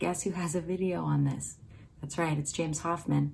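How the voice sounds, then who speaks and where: In a whisper, a woman speaks with vocal fry. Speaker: coffee roaster and video creator. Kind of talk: tutorial. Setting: brother's home kitchen. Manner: whispering.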